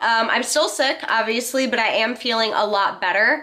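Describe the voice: A woman speaks at a fairly slow pace in a nasal, fairly high-pitched voice with a fairly bright tone and fairly even intonation.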